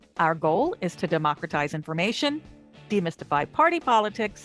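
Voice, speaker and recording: Over background music, a woman speaks at a moderate pace with very wide pitch swings. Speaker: podcast host. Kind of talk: podcast intro read.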